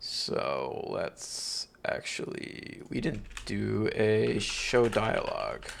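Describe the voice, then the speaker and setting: At a very slow pace, a man speaks with hardly any pauses. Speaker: coding streamer. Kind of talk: casual live-stream chat while coding. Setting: live stream. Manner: casual, filler-heavy (um, uh).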